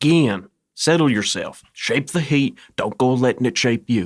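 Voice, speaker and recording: Putting on a character voice with a Southern US accent, a man drawls at a moderate pace and medium pitch with lively intonation and very even loudness, on a very clean recording with a silent background. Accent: Southern drawl. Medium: audio drama. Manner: crisp, slightly drawling.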